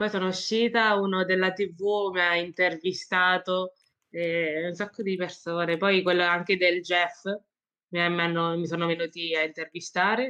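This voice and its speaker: A woman's flat, monotone delivery at a fairly slow pace. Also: fairly low pitch for a woman. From Marche, central Italy. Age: 20s. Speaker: esports player and footballer. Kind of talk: casual interview.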